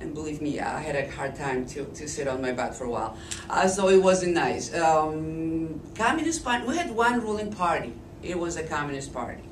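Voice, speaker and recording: Speaking at a moderate pace with a Polish accent, a woman's fairly low voice makes very wide pitch swings, with audible room echo and noticeable background noise. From eastern Poland. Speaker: speaker at a political forum. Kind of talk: public talk.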